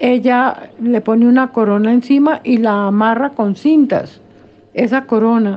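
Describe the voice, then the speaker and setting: Her pitch is high and her intonation fairly even. This woman speaks at a fairly slow pace with very even loudness. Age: 80s. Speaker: religious commentator. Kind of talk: religious discussion.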